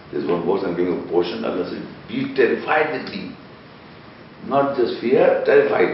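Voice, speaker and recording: A man speaks at a moderate pace with long, frequent pauses, against noticeable background noise. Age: 60s. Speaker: internet TV presenter and Quran researcher. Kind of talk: heated debate.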